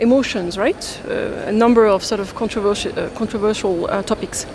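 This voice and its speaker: A woman with a French accent, against noticeable background noise. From France. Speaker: international development finance expert. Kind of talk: panel discussion.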